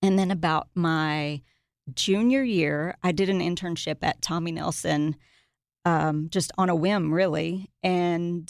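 Over a very clean recording with a silent background, a woman speaks in a Tennessee accent. Her pitch is fairly low and her intonation fairly even. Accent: Southern US (Tennessee). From US South, Middle Tennessee. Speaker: children's book author. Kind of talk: casual chat. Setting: studio.

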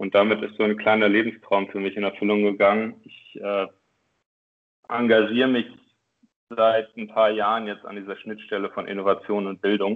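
A man talks at a moderate pace in a fairly low, monotone, flat voice. Long, frequent pauses and big swings in loudness mark his delivery. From northern Germany, Oldenburg. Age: 20s. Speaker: education nonprofit director. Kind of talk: podcast interview. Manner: hesitant with many fillers.

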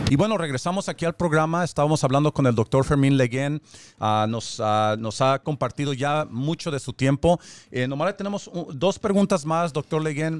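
A man's normal speaking voice, fairly high and with lively intonation, at a moderate pace in a dry, close, echo-free, very clean recording with a silent background. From born in Mexico, raised in the US. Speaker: radio host, community leader. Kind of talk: radio talk show interview. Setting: radio studio, streamed on Facebook Live.

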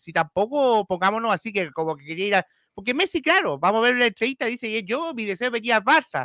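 In a raised, projected voice with a bright, sharp tone and a high pitch, a man talks at a fairly quick pace with very wide pitch swings, in a dry, close sound with no echo on a very clean recording with a silent background. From Chile. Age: 30s. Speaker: football podcast host. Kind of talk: casual chat.

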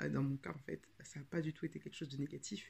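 Vocal fry shows up in this woman's voice. Her pitch sits very deep and low. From France, Paris region. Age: 30s. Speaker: podcast host and writing coach. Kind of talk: casual podcast monologue. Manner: hesitant, frequent filler 'euh'.

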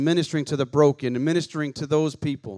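At a fairly quick pace, a man talks with a fairly high pitch. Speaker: preacher. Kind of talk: sermon. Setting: church. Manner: fast talker.

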